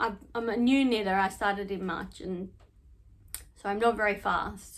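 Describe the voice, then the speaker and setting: Fairly even in intonation and medium in pitch, a woman speaks with an Australian accent. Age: 40s. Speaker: knitting podcaster. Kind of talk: casual chat. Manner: casual, hesitant with fillers.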